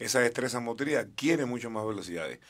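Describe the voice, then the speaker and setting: A man talks at a moderate pace, keeping his intonation fairly even over a quiet background. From Cuba. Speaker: skating coach. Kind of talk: interview. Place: studio. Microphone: studio mic.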